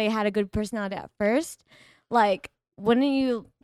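A woman in an American accent with an ordinary speaking voice, fairly high pitch, ordinary pitch variation and moderate pace, in a dry, close sound with no echo. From Texas. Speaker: livestream guest, influencer. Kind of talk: casual chat.

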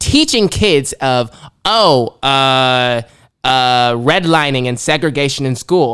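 A man's fairly high-pitched voice at a fairly slow pace, a plain, everyday voice with ordinary pitch variation, in a very clean recording with a silent background. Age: young. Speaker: college student intern, aspiring journalist. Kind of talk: casual chat. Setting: studio.

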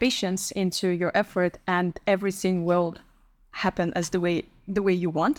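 A woman talks at a moderate pace with a medium pitch, in an unremarkable speaking voice. The sound is dry and close, with no echo. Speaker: podcast host. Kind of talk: casual interview chat.

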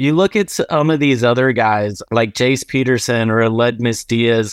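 A man at medium pitch with an unremarkable speaking voice, ordinary pitch variation and a fairly slow pace, dry and close with no echo against a quiet background. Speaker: podcast co-host. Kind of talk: sports podcast discussion.

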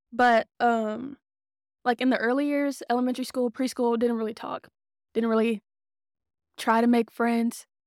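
In an American accent, the speaker keeps a moderate pace and fairly even intonation on a very clean recording with a silent background and a dry, close sound with no echo. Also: woman. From Texas, Dallas area. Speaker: podcast co-host. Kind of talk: casual chat.

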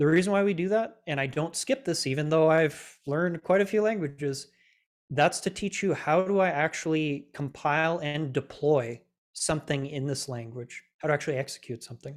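With a normal speaking voice, a man talks at a fairly high pitch with ordinary pitch variation in a very clean recording against a silent background. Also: moderate pace. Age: 20s. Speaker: self-taught Android developer and teacher. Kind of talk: interview.

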